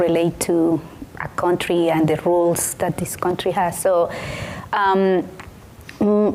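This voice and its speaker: Against noticeable background noise, a woman speaks at a very slow pace with a Colombian accent. Her pitch is fairly low and her intonation monotone and flat. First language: Spanish. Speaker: city council member. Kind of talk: panel discussion.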